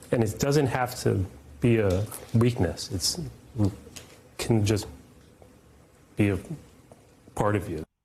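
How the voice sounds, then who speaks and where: At a very slow pace with long, frequent pauses, a man speaks in a fairly low pitch with a dark, mellow tone and vocal fry. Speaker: journalist. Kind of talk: interview answer.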